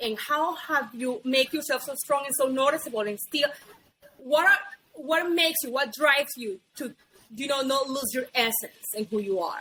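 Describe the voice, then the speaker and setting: A woman with a high pitch uses a raised, projected voice, leaving long, frequent pauses. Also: ordinary pitch variation, moderate pace. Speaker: podcast host. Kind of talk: casual interview chat.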